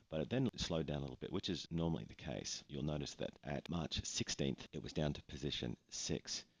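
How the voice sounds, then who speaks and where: Very deep, low male voice with vocal fry at a very fast pace. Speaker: online reputation management business owner. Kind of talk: screen-share explainer narration.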